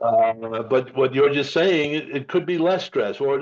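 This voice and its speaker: At medium pitch and a moderate pace, a man talks in an ordinary speaking voice. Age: 60s. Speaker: podcast host. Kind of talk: casual chat.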